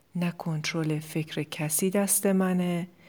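On a very clean recording with a silent background, a woman with a fairly low voice speaks at a very slow pace. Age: 40s. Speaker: life coach and podcast host. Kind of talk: solo podcast monologue.

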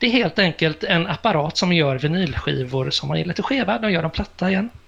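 This man's high-pitched voice has lively intonation and a moderate pace, with noticeable background noise behind it. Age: 50s. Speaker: radio and TV presenter. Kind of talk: casual chat.

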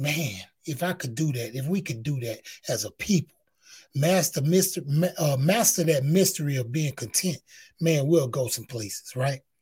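This man has an American accent, a fairly high pitch, somewhat breathy delivery, and ordinary pitch variation. He talks at a moderate pace in an animated tone, on a very clean recording with a silent background. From Houston, Texas (Fifth Ward). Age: 50s. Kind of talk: motivational testimony monologue. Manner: animated, repetitive emphasis.

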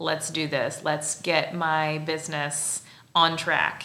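A woman speaks with a Midwestern US accent in a fairly low, bright and sharp voice. Room echo is audible. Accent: US Midwest. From Central Illinois. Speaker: podcast host. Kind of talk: casual interview chat. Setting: studio.

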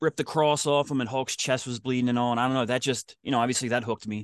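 A man with a Philadelphia accent talks at a very fast pace and medium pitch, with ordinary pitch variation. The sound is dry and close with no echo, over a quiet background. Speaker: podcaster and podcast producer. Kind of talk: casual interview.

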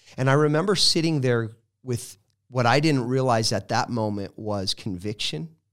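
In a normal speaking voice with an American accent, the speaker talks at a moderate pace with lively intonation, captured in a very clean recording with a silent background. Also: man, medium pitch for a man. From Colorado. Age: 40s. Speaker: evangelist. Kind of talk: testimony.

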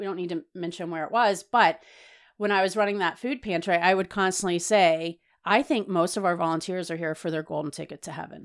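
A woman with an unremarkable speaking voice and an American accent, medium in pitch with ordinary pitch variation, in a very clean recording with a silent background. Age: 40s. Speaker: registered dietitian and food equity advocate. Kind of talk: interview conversation.

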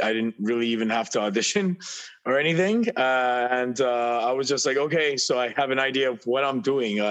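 An unremarkable speaking voice from a man, medium in pitch, at a moderate pace with ordinary pitch variation, over a quiet background. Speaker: actor and musician. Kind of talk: casual chat. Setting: video call.

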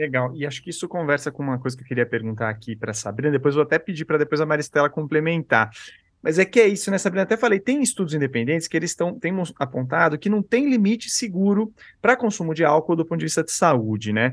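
Very fast and fairly high-pitched, a man talks with very wide pitch swings. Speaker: podcast host. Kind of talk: panel discussion.

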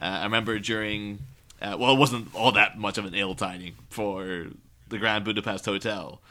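This man speaks with an Irish accent in a fairly low, bright, sharp voice. His pace is moderate and his intonation fairly even. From Ireland. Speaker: podcast host guest. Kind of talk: casual chat.

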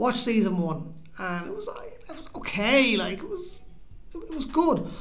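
A man talks amid noticeable background noise, with audible room echo around him. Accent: Irish. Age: 40s. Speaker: podcast co-host. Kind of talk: casual chat. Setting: community centre.

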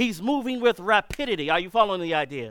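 In a very clean recording with a silent background, a man speaks loudly with a high pitch and lively intonation. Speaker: preacher. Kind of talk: sermon. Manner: urgent, emphatic.

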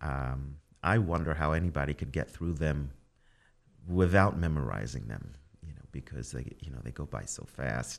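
With vocal fry and big swings in loudness, a man speaks in a very deep, low voice at a moderate pace, his pitch varying in an ordinary way. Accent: American. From the Bronx, New York. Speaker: concert pianist. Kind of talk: casual radio interview. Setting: radio studio. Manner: thoughtful, hesitant with fillers.

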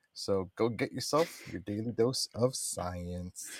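A man with a plain, everyday voice, fairly low in pitch, with lively intonation at a fairly slow pace, on a very clean recording with a silent background. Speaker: co-host science presenter. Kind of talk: casual interview chat.

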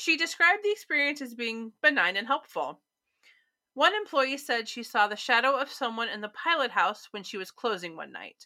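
A woman with a Midwestern American accent uses a raised, projected voice that is high in pitch and bright, sharp in tone. Her pitch makes very wide swings at a moderate pace. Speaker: podcast co-host. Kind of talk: casual chat about local ghost stories.

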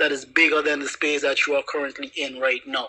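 A man speaks at a fairly high pitch. Noticeable background noise can be heard. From Anguilla. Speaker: YouTuber. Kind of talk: casual chat.

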